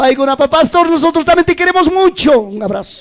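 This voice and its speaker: A man with an animated tone at a moderate pace. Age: 60s. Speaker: pastor. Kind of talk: sermon.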